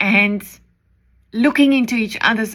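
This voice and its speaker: A woman with a South African accent speaks in a fairly high voice with a bright, sharp tone. She goes at a fairly slow pace with ordinary pitch variation. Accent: Afrikaans-accented English. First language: Afrikaans. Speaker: preacher. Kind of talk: devotional message.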